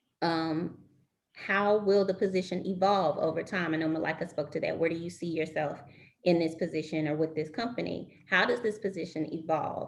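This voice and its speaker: At a fairly low pitch, a woman with a normal speaking voice talks at a moderate pace with fairly even intonation. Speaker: recruiter giving career advice. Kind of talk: webinar presentation.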